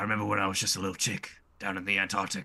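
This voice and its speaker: A man puts on a raspy character voice at a fairly low pitch. He talks at a very fast pace. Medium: actual play.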